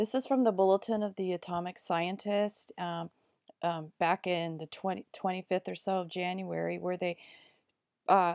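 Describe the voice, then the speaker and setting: A woman at medium pitch uses a normal speaking voice at a moderate pace, in a very clean recording with a silent background and a dry, close sound with no echo. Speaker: video blogger. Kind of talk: casual monologue.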